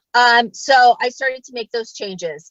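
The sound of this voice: With an American accent, a woman talks at a slow pace in a fairly high pitch with ordinary pitch variation and a fairly bright tone, recorded dry and close with no echo.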